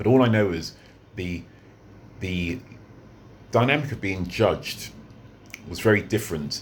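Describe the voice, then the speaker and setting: A man speaks in a British accent. His intonation is lively and his pace moderate. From London, England. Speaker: vlogger. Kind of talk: unscripted monologue vlog. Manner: halting, many fillers and repeats.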